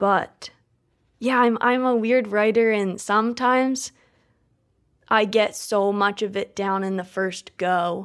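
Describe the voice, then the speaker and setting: A woman with a slight Midwestern accent speaks at a fairly high pitch and a very slow pace, with fairly even intonation. Long, frequent pauses break her speech on a very clean recording with a silent background. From Maine. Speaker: poet. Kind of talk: interview; poetry reading.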